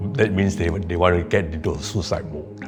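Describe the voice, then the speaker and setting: A man's voice with music in the background. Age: 70s. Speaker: retiree living with depression. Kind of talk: interview answer.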